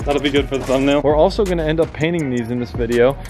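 A man talks with ordinary pitch variation while clear music plays behind him. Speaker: vlogger building a go-kart. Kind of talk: casual vlog chat. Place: street. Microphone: phone near.

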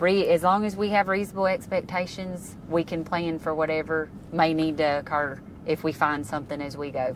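With a Louisiana accent, a woman speaks in a fairly low voice with ordinary pitch variation, the sound dry with no echo and light background noise behind her. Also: fairly quick pace. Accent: Southern US (Louisiana). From North Central Louisiana. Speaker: state highway pavement engineer. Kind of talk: casual technical interview. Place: car.

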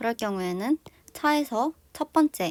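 A woman speaks with a fairly high pitch and lively intonation. The sound is dry and close, with no echo. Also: very clean recording, silent background. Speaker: vlogger. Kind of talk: tutorial.

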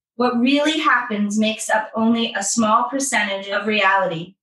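A woman's fairly high voice, an ordinary speaking voice, at a fairly slow pace with ordinary pitch variation. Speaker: podcast co-host leading positive psychology exercises. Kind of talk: guided exercise and casual storytelling.

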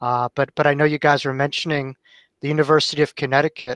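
Over a quiet background, a man with an American accent talks at a very fast pace in a fairly high pitch, his intonation monotone and flat, the sound dry with no echo. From New York. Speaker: author and near-death experiencer. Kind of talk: talk to a support group. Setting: video call. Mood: warm, friendly. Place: home room. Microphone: headset.

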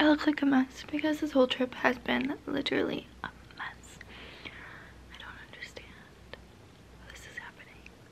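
Her words come out as a whisper. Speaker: vlogger on a road trip. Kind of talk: casual vlog chat. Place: home room. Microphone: phone near.

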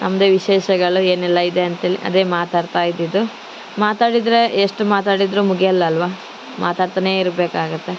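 Over noticeable background noise, a woman of medium pitch speaks in a flat monotone, her loudness very even. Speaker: vlogger. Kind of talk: vlog voice-over narration. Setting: outdoors.

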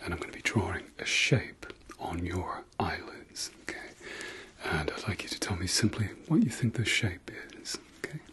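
At a moderate pace, a man speaks in a whisper. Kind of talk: ASMR role-play. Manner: soft, hushed ASMR speech close to the mic.

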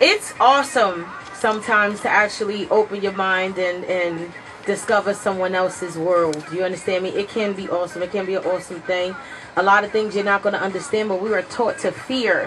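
Noticeable background noise sits behind a woman speaking. She talks at a fairly quick pace with fairly even intonation. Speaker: radio show co-host. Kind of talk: radio talk show commentary. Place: studio. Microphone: studio mic.

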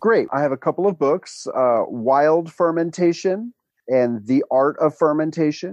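A fairly high-pitched man with an ordinary speaking voice, lively intonation, very even loudness and a fairly slow pace. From US Northeast, New York City. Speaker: author and fermentation teacher. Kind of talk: interview conversation.

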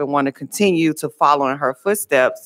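At a fairly quick pace, a woman speaks in a very deep, low pitch. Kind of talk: committee testimony. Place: hall. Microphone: podium.

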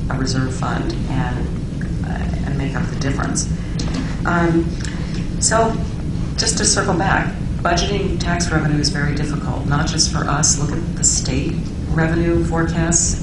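Loud background noise runs under a woman who speaks at a moderate pace with long, frequent pauses. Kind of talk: formal testimony. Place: meeting room. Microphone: podium.

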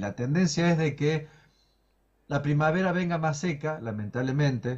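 A somewhat breathy, fairly high male voice over a quiet background. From Córdoba, Argentina (Villa Dolores); Córdoba, Argentina. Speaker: meteorologist; guest. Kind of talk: live interview. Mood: calm, explanatory. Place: home room. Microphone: video call.

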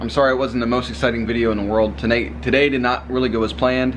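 Background noise is noticeable throughout. A man does the talking. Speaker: car vlogger. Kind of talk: casual vlog chat. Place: home room. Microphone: phone near.

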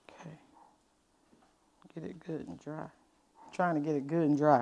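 A woman talks at a fairly slow pace. Her voice is low in pitch with a slightly mellow tone.

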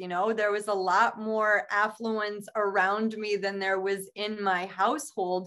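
A woman's voice against a quiet background. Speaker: podcast co-host. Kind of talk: casual chat. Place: home room. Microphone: video call.

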